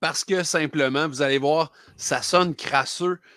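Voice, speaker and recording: Against a quiet background with a dry sound and no echo, a man talks at a fairly slow pace with fairly even intonation. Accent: Quebec. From Quebec. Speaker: record store clerk and podcast co-host; podcast co-host. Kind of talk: casual chat. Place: home room.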